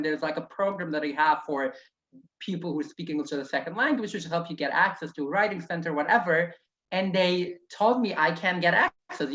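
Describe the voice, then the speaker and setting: A woman talks at a fairly quick pace with lively intonation. Her pitch sits in the medium range. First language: Yiddish. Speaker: author and activist. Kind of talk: interview. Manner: conversational, with fillers and restarts.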